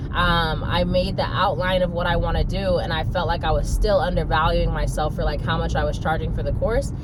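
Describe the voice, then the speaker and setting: Fairly quick speech with hardly any pauses and very even loudness, amid noticeable background noise and audible room echo. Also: woman. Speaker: online course creator and manifestation coach. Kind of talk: casual monologue vlog. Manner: fast; animated.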